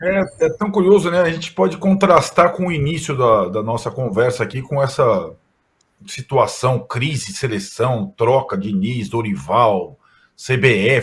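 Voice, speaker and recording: A man talks at a fairly slow pace in a somewhat breathy voice, his pitch swinging very widely. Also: medium pitch for a man. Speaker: sports journalist. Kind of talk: casual chat.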